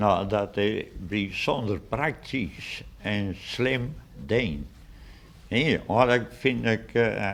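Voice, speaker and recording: A man with vocal fry talks very slowly at a fairly low pitch. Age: 80s+. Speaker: museum founder and collector. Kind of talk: interview. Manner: hesitant, many fillers.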